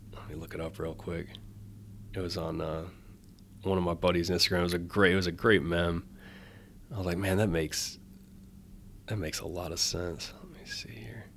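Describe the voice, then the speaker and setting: A man with an American accent speaks at a very deep, low pitch with vocal fry and a fairly quick pace. Long, frequent pauses break up his speech, and audible room echo surrounds it. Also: ordinary pitch variation. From US Midwest, Wisconsin (Janesville). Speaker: ice cream vendor, former Marine. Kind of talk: casual interview.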